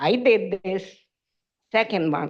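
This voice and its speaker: A woman with a non-native accent, speaking at a very slow pace. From Ukraine. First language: Ukrainian. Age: old. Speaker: public commenter. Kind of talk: public comment at council meeting. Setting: city council meeting.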